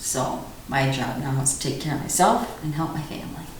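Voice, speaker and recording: A woman's very deep, low voice with ordinary pitch variation, amid noticeable background noise and audible room echo. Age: 60s. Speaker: vasculitis patient. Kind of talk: interview testimony. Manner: halting.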